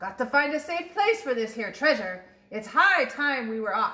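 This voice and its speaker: Bellowing in a put-on character voice, a woman speaks at a moderate pace with a high pitch and very wide pitch swings. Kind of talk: storybook pirate voice. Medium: read story. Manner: bellowing, hearty pirate slang.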